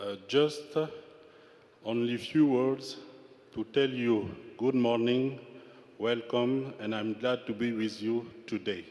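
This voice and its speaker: Speaking at a very slow pace with long, frequent pauses, a man keeps his intonation fairly even. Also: medium pitch for a man. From Central African Republic. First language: French. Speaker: government minister. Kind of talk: formal speech.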